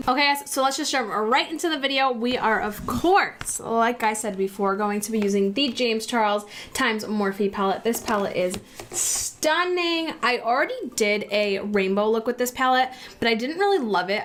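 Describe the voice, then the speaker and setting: A woman talks with lively intonation at a fairly high pitch. Noticeable background noise runs behind her. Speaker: beauty vlogger. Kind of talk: makeup tutorial. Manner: fast; animated.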